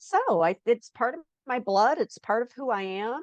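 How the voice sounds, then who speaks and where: In an American accent, a woman with a fairly high pitch talks at a fairly slow pace with lively intonation, the sound dry and close with no echo. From Chicago south suburbs, Illinois. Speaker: children's author. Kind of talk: casual interview.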